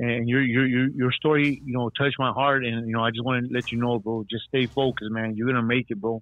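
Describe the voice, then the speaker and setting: Speaking very fast with hardly any pauses, a man at medium pitch delivers flat, monotone intonation in an American accent. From Texas. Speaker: caller, former gang member. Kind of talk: call-in shout-out. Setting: phone call.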